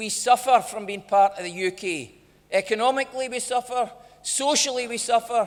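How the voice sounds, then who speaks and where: With a Lanarkshire accent, a man talks at a moderate pace with ordinary pitch variation. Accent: Scottish (Lanarkshire). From Motherwell, Scotland. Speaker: politician. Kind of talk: political speech.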